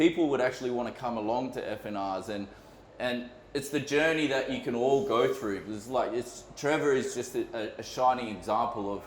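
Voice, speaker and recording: Here a man talks with an Australian accent at a moderate pace and ordinary pitch variation. Noticeable background noise and audible room echo are present. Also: medium pitch for a man. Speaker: podcast co-host, motorcycle group organiser. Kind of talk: casual chat. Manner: loud.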